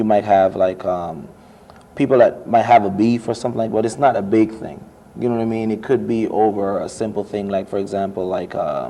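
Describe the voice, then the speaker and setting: With a Jamaican accent, a man speaks at a fairly quick pace in a fairly low voice with fairly even intonation over noticeable background noise. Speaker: international student, student club officer. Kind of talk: interview. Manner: casual, conversational.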